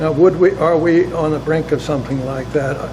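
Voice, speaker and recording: A man with a fairly high voice speaks at a moderate pace in a flat monotone, with noticeable background noise and audible room echo. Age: 80s+. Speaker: former ambassador. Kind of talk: interview. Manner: halting.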